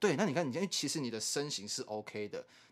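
This man speaks at a fairly high pitch for a man on a very clean recording with a silent background. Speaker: podcast co-host. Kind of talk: casual chat.

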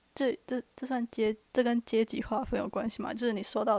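Delivered at a moderate pace in a monotone, flat intonation, the speech has a dry, close sound with no echo. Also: woman. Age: 20s. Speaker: student podcast co-host. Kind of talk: reading prepared notes.

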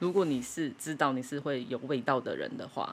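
The woman's voice is very deep and low in pitch. Its rise and fall is ordinary. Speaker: podcast co-host. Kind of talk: casual chat. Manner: fast.

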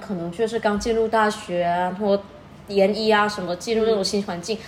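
A woman with a fairly high pitch and ordinary pitch variation speaks against noticeable background noise. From Fujian, China. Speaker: PhD student studying abroad. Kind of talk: casual chat.

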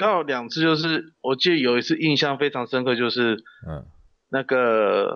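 A man speaks at a moderate pace with a medium pitch and ordinary pitch variation. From Taiwan, Kaohsiung. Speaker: professional wrestler. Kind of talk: interview. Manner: halting; shy.

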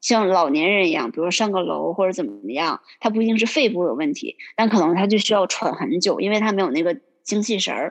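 A woman's medium-pitched voice with vocal fry, lively intonation and a fairly quick pace. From Northeast China, Liaoning. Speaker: accountant. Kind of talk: casual interview chat. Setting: remote call.

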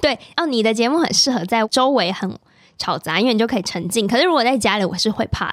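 The speech comes at a very fast pace with lively intonation. The recording is very clean and dry, close with no echo, over a silent background. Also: woman, fairly high pitch for a woman. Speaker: podcast host. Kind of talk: casual chat.

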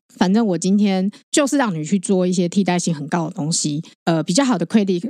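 A woman's medium-pitched voice with a dark, mellow tone, lively intonation and a moderate pace. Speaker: podcast co-host. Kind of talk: casual chat.

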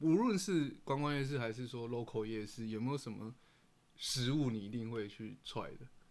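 Moderate-paced speech from a man, medium in pitch and with ordinary pitch variation. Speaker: podcast co-host. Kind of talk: casual chat while eating.

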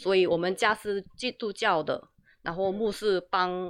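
A woman with a Korean accent, medium in pitch, at a fairly slow pace against a quiet background. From South Korea. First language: Korean (speaking Chinese). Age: 30s. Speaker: YouTuber, translator. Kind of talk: casual chat. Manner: halting.

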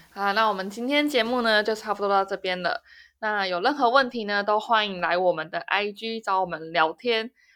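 A bright, sharp voice in a Taiwanese accent at a fairly quick pace, with ordinary pitch variation, in a very clean recording with a silent background. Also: woman, medium pitch for a woman. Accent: Taiwanese Mandarin. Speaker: podcast host. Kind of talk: casual chat.

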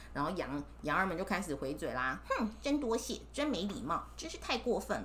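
A woman talks in an animated tone with hardly any pauses, over noticeable background noise and audible room echo. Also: moderate pace. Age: 30s. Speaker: mother reading stories with her child. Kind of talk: storytelling to a child.

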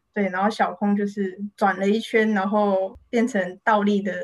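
A woman's somewhat breathy voice in a Taiwanese accent, medium in pitch, at a moderate pace, with monotone, flat intonation. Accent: Taiwanese Mandarin. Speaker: illustrator and author. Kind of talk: interview.

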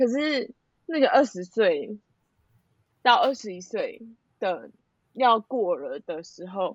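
A woman at a very slow pace, fairly high in pitch, with very wide pitch swings, long, frequent pauses and big swings in loudness. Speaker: friend of host. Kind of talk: casual chat.

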